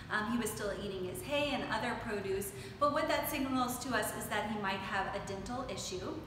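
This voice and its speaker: At a moderate pace, the voice comes through with audible room echo and noticeable background noise. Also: woman. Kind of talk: explanatory talk to camera. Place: workshop.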